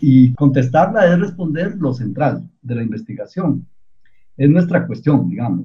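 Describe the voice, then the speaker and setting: A man's dark, mellow voice moves at a fairly slow pace, with vocal fry. His pitch swings very widely. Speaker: researcher. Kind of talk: radio interview.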